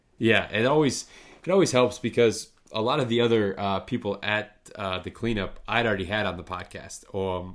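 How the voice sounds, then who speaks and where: An ordinary speaking voice from a man with an American accent, fairly low in pitch and moderate in pace, on a very clean recording with a silent background. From northern lower Michigan. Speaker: podcast host. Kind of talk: casual interview chat.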